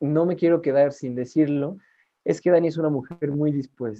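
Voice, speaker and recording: Talking at a moderate pace, a man with a Mexican accent uses a fairly high pitch and ordinary pitch variation. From Mexico. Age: 20s. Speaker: podcast co-host, clinical psychologist. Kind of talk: casual chat.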